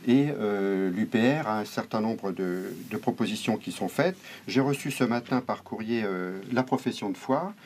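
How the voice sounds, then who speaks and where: A fairly slow speaker with ordinary pitch variation, recorded very cleanly against a silent background. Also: man, medium pitch for a man. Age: 50s. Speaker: local election candidate. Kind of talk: interview. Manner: hesitant, many fillers.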